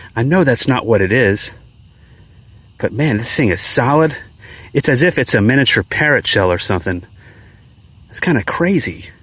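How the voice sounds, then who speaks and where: The voice swings very widely in pitch at a moderate pace. Noticeable background noise sits behind it. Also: man. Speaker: metal detecting youtuber. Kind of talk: outdoor vlog narration. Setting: outdoors.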